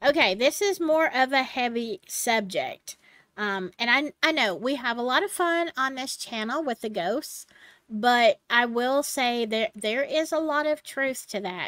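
A woman's high-pitched voice at a fairly slow pace, dry sound with no echo, over a quiet background. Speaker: channel host. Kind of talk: casual storytelling vlog. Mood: relaxed, turning serious. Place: home room.

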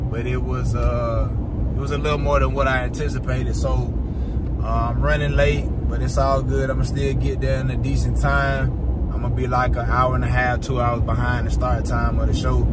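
A man speaks at a moderate pace against loud background noise. The sound is dry, with no echo. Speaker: vlogger. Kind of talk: casual vlog chat. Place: car. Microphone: phone near.

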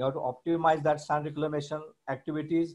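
A man talks in a flat monotone against a quiet background. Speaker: webinar host. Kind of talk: formal introduction speech. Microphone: video call.

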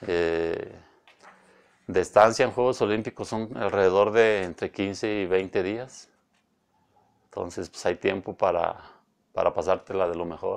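Speaking at a fairly slow pace with long, frequent pauses, a man uses a fairly low pitch and ordinary pitch variation against a quiet background. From Mexico, Villanueva. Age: 40s. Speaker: professional cyclist. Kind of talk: interview. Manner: halting. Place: studio. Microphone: lapel.

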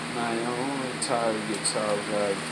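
A man talks very slowly while loud background noise fills the clip. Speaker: vlogger. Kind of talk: casual vlog chat. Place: home room. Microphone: phone near.

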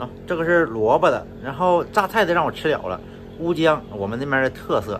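A man's fairly high-pitched voice with very wide swings in pitch. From northeast China. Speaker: travel and food vlogger. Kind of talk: casual solo vlog monologue. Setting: at home in Malaysia, lying down. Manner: casual, chatty, laughs often.

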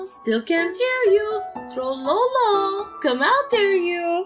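A put-on character voice, female-sounding and extremely high in pitch, at a very slow pace over clear background music. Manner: playful, teasing.

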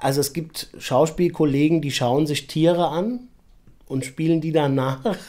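A dark, mellow tone comes through at a fairly slow pace, with ordinary pitch variation. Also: man. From Frankfurt-Sachsenhausen. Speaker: actor. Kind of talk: interview answer.

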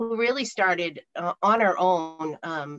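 A woman's fairly low voice with fairly even intonation over a quiet background. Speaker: college alumni staff host. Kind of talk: webinar welcome remarks. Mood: warm, appreciative. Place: home room. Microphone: video call.

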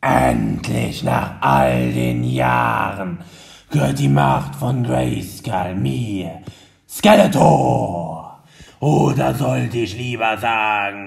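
Very wide pitch swings in a raspy, put-on character voice at a very slow pace. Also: man, very deep, low pitch for a man. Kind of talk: comic overacting. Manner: gloating, menacing, theatrical.

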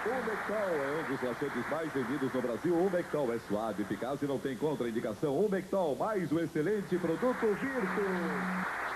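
A man with a fairly high pitch makes very wide pitch swings while keeping his loudness very even. He barely pauses, and noticeable background noise runs underneath. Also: moderate pace. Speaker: TV announcer. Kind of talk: TV commercial read.

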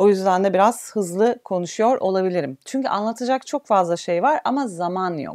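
A woman at a moderate pace, lively in intonation, with hardly any pauses and a quiet background. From Turkey. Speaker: physiotherapist; physiotherapist instructor. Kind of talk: online health talk. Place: home room.

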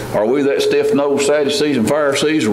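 A man talks at a fairly quick pace in a medium pitch. Strong room echo and clear background noise surround him.

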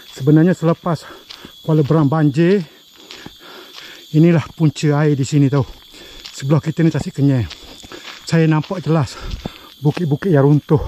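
A man speaks at a moderate pace with very even loudness, fairly even intonation and long, frequent pauses, the sound dry with no echo over light background noise. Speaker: hiking vlogger. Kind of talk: casual vlog chat. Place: forest. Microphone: phone near.

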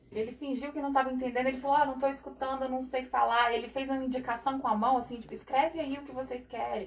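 A woman with a Brazilian accent, high-pitched and monotone with flat intonation, talking at a very fast pace with hardly any pauses. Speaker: interpreter; spiritual teacher. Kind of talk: consecutive interpreting. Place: home room.

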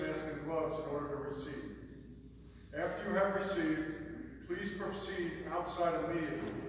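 A man with a high-pitched voice speaks at a moderate pace, amid strong room echo and noticeable background noise. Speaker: church announcer at lectern. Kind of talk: formal announcements. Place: church.

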